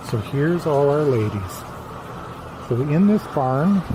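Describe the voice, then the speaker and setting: Whispering very slowly, a man keeps his voice hushed. Background noise is noticeable throughout. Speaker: farmer. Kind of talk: virtual tour. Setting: barn.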